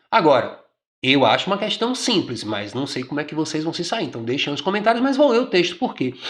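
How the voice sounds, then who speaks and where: A man with a Bahian accent, high pitch and very wide pitch swings, at a fairly quick pace. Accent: Bahian Brazilian Portuguese. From Brazil, Bahia. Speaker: exam prep teacher. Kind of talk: exam question tutorial. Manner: conversational, informal.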